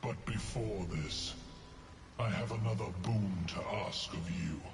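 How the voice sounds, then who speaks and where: Someone performs a put-on character voice at a fairly slow pace. Clear background noise runs beneath it. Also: man, fairly low pitch for a man. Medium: machinima. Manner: slow, solemn, terse.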